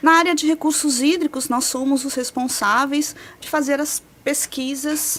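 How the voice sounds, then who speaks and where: A high-pitched woman with a São Paulo accent at a fairly slow pace, with fairly even intonation and noticeable background noise. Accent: São Paulo Brazilian Portuguese. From São Paulo state, Brazil. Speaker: meteorologist researcher. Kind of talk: interview explanation.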